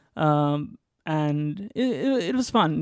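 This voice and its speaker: On a very clean recording with a silent background, a man's fairly high voice sounds dry and close with no echo. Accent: Bengali. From India, West Bengal (Durgapur). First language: Bengali. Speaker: graduate student. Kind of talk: interview, casual storytelling. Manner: halting, many fillers.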